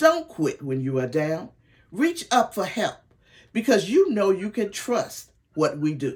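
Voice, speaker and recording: With vocal fry and a medium pitch, a woman speaks at a fairly slow pace, her pitch swinging very widely. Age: 70s. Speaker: sales director and mentor. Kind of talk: training talk. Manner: enthusiastic, motivational.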